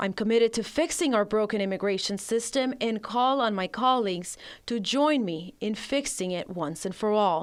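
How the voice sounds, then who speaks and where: In a plain, everyday voice, a woman speaks at a fairly high pitch and a moderate pace with lively intonation and hardly any pauses, in a very clean recording with a silent background. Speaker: bilingual TV news reporter. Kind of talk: TV news package voiceover.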